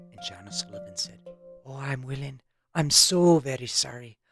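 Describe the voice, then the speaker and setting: With music in the background, a woman in an Irish accent talks at a moderate pace in a very deep, low voice. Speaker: storyteller. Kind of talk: folktale storytelling.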